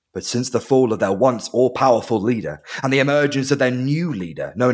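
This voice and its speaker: On a very clean recording with a silent background, a man talks with vocal fry. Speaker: dungeon master. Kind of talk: tabletop role-playing podcast, narrating and playing characters. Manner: animated, jokey, does character voices.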